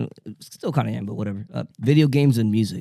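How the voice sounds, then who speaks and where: The voice has a Spanish accent and a dark, mellow tone. Its intonation is fairly even, with a dry, close sound and no echo. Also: man. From New York, Dominican family. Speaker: DJ. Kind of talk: casual chat. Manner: halting, many fillers.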